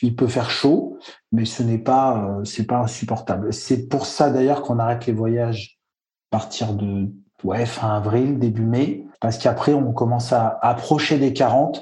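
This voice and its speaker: The voice has a dark, mellow tone, is somewhat breathy, moves at a fairly slow pace with fairly even intonation, and carries audible room echo. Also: man, medium pitch for a man. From French Alps. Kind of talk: interview.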